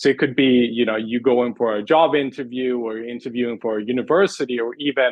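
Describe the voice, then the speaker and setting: With a Swedish accent, a man keeps his intonation fairly even. His pace is fairly quick. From Sweden. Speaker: communications coach. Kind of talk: interview.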